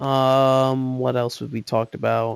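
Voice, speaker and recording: A man mumbling in a monotone, flat intonation at a fairly slow pace, the sound dry and close with no echo. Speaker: gaming youtuber. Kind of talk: casual chat. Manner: halting.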